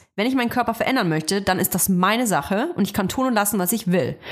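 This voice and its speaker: A woman's medium-pitched voice, full of lively intonation, comes over a very clean recording with a silent background. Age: 30s. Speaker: podcast host. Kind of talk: casual chat.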